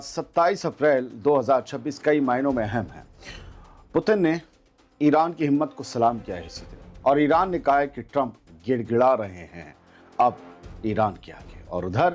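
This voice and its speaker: Over music in the background, a man with a fairly high pitch uses lively intonation and big swings in loudness. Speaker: news anchor. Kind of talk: news commentary to camera.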